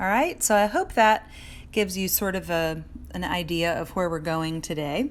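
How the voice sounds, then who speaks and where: A woman at a fairly low pitch with ordinary pitch variation and a moderate pace. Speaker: art teacher. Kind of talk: live drawing tutorial. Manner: loud.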